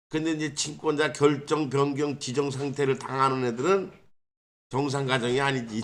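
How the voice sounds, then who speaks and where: Audible room echo surrounds a man who speaks at a moderate pace with a fairly high pitch and fairly even intonation. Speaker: legal scrivener. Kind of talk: informal legal explainer. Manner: casual, rhetorical questions.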